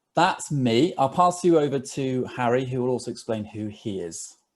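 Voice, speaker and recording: With a British accent, a man speaks in a dark, mellow tone at a moderate pace. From England. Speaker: digital marketer. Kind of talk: webinar presentation.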